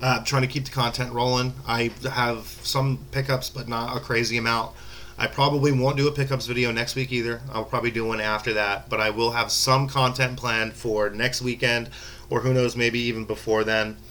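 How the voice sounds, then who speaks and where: A medium-pitched man with an American accent and monotone, flat intonation, amid noticeable background noise. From Florida. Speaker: gaming and sports YouTuber. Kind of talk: casual vlog talk to camera. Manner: fast; halting, repeats words.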